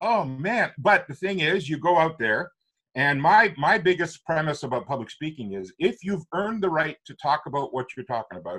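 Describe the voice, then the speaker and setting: A man with a Canadian accent speaks at a moderate pace in a fairly high pitch, his bright, sharp tone carrying vocal fry, lively intonation and big swings in loudness. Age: 60s. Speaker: author and public speaking coach. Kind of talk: interview. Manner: animated.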